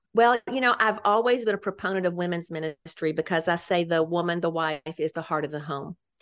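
A woman talks with a Memphis accent at a fairly low pitch, using ordinary pitch variation. She leaves hardly any pauses. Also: fairly quick pace, quiet background. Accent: Southern US (Memphis). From Memphis, Tennessee. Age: old. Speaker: women's ministry leader. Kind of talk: casual interview.

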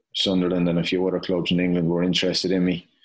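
Speaking fairly quickly, the man has a very deep, low pitch. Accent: Tipperary. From Ireland, County Tipperary. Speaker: professional footballer. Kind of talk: casual interview.

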